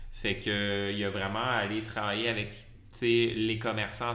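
A man with a Quebec accent speaks at medium pitch in a flat monotone. Audible room echo surrounds the voice. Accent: Québécois French. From Quebec (Lévis, south shore of Quebec City). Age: 30s. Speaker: cook and food-waste nonprofit co-founder. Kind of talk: interview. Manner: hesitant with many fillers.

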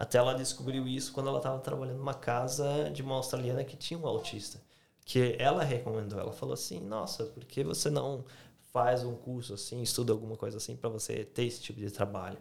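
This voice has vocal fry and ordinary pitch variation and moves at a very fast pace. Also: man, medium pitch for a man. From Brazil, Santa Catarina. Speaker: YouTuber. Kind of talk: casual chat.

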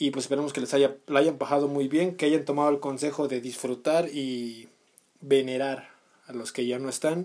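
In a Mexican accent, a man speaks at a moderate pace with monotone, flat intonation. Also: fairly high pitch for a man. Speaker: podcast co-host. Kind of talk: casual chat.

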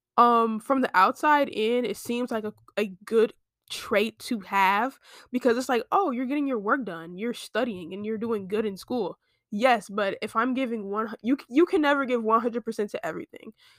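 An ordinary speaking voice moves at a moderate pace with ordinary pitch variation, recorded very cleanly against a silent background with a dry, close sound and no echo. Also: woman, fairly high pitch for a woman. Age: 20s. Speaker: student podcaster. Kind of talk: casual solo chat. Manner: chatty, filler-heavy. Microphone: laptop mic.

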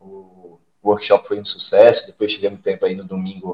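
A man is speaking. His pace is moderate. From Alagoas, Brazil (Maceió). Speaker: former footballer and fitness coach. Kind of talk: casual interview.

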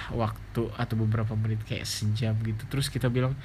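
In a room with audible echo, a man talks in a relaxed, somewhat breathy voice at a medium pitch with monotone, flat intonation. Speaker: podcaster and YouTuber. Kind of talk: casual monologue. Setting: bedroom in boarding house at night. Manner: relaxed, lying down late at night.

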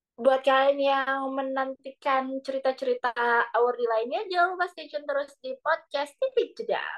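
A high-pitched woman's voice at a moderate pace, with lively intonation, big swings in loudness and a dry, close sound with no echo. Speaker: podcast host. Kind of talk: casual podcast chat.

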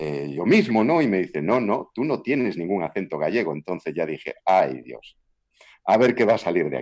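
A man with a very deep, low pitch, very wide pitch swings and a fairly quick pace. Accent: Galician. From Galicia, Spain (Vigo). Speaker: voice actor and dubbing director. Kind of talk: interview.

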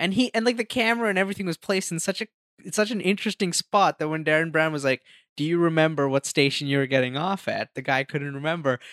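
A man talks very fast in a fairly high pitch with lively intonation, the sound dry and close with no echo. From India. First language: Hindi. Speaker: magician and filmmaker. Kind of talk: casual chat.

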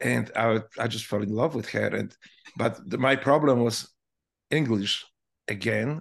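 Vocal fry runs through this man's medium-pitched voice, which shows ordinary pitch variation. He goes at a fairly slow pace with long, frequent pauses. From Poland. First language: Polish. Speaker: Navy veteran and author. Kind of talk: interview.

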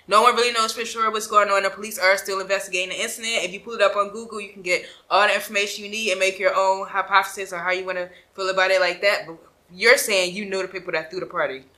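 A woman talks at a very fast pace with an American accent. Her intonation stays fairly even. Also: medium pitch for a woman, big swings in loudness. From Philadelphia. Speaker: interview show host. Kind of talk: casual interview.

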